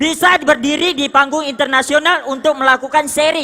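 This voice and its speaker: Someone talks in an animated tone over noticeable background noise. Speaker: motivational speaker at business leadership seminar. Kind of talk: motivational stage speech. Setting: stage with audience. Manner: loud.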